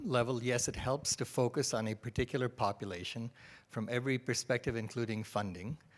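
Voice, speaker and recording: With a plain, everyday voice, a man talks at a fairly quick pace, medium in pitch with ordinary pitch variation, on a very clean recording with a silent background. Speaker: health researcher. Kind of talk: audience question.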